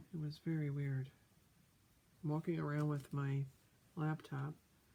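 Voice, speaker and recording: Soft-spoken, with a dark, mellow tone. The pace is fairly slow. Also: woman, long, frequent pauses. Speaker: crafter. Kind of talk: casual chat.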